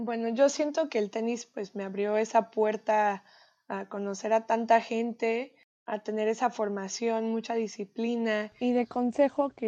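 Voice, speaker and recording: In a dry, close sound with no echo and a quiet background, a woman with a dark, mellow tone speaks at a fairly slow pace, her pitch fairly high and her intonation fairly even. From Mexico, raised in the US from age 8. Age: 20s. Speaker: tennis player. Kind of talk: interview.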